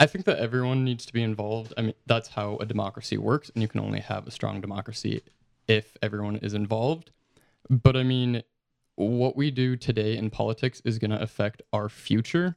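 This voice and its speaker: A man with an American accent uses an ordinary speaking voice at a medium pitch and a fairly quick pace. His pitch varies in an ordinary way, and the sound is dry and close with no echo. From Utah. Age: young. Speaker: intern, college student. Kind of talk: casual chat.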